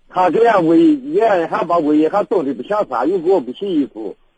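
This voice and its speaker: This man has a high-pitched voice with a dark, mellow tone and lively intonation. He speaks at a moderate pace, and the sound is dry and close with no echo. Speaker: radio caller. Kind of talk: call-in advice conversation. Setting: phone call. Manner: halting.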